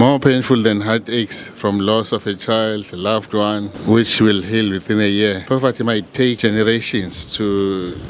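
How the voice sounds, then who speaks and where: Against noticeable background noise, a man speaks at a fairly slow pace and fairly low pitch with monotone, flat intonation. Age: 60s. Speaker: medical practitioner and online business channel owner. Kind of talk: presentation of business plan. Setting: home studio.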